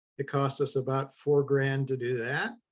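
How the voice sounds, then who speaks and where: This man has a fairly high pitch. He talks at a moderate pace. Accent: Midwestern US. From Ohio. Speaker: congregation board president, solar project panelist. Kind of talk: panel presentation. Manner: halting, many fillers.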